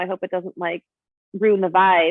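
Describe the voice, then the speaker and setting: A woman speaks in an animated tone. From Colorado. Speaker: psychic medium and healer. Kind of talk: casual chat. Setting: podcast conversation.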